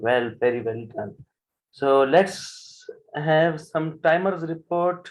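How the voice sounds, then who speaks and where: The speaker has a Punjabi accent. Pitch varies in an ordinary way. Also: man. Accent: South Asian (Punjabi) English. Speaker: general evaluator at a speaking club. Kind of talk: club meeting chairing.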